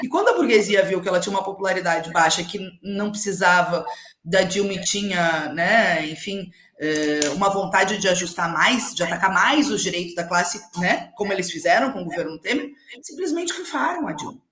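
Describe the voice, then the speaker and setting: In a room with audible echo, a woman speaks at medium pitch and a moderate pace with lively intonation. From Rio Grande do Sul, Alegrete (southern Brazil). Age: young. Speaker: politician. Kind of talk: live interview.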